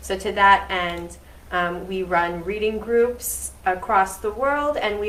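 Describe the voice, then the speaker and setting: A woman speaks at a very slow pace with a medium pitch. Her intonation is fairly even, and there is audible room echo. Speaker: student interviewer. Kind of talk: event introduction and interview. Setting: live event with audience. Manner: loud projecting voice; hesitant with fillers.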